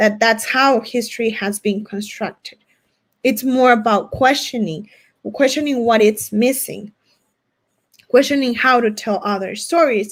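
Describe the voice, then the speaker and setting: A woman with a Spanish accent speaks at a fairly high pitch with ordinary pitch variation. She leaves long, frequent pauses. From US-Mexico border region. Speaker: academic presenter. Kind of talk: conference Q&A answer. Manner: halting, with many restarts.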